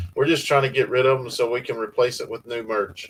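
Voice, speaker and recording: In a Southern US accent, a man talks at a medium pitch with a somewhat breathy sound. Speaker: farm channel host. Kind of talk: livestream chat.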